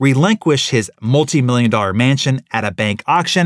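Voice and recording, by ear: A passage is being read out. The delivery is natural.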